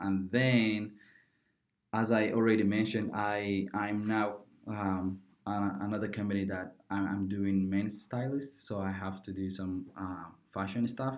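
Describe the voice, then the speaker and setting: Speaking in a fairly low voice, a man keeps a monotone, flat intonation. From Somalia. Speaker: college student and YouTuber. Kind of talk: casual interview. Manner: halting, many fillers.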